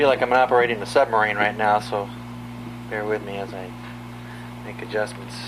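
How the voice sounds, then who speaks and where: With noticeable background noise and big swings in loudness, a man speaks at a fairly quick pace in a fairly low, monotone, flat voice, leaving long, frequent pauses. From Southern California. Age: 30s. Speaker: family historian. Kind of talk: casual chat.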